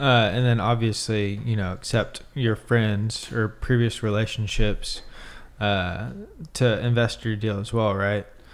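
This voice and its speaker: Intonation stays fairly even. The pace is fairly slow. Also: man, medium pitch for a man. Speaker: podcast host. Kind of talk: casual interview. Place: meeting room. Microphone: studio mic.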